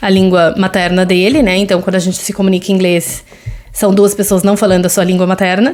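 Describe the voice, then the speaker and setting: A woman with a Brazilian accent. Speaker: podcast host, mother. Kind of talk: solo podcast monologue. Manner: conversational, with frequent fillers.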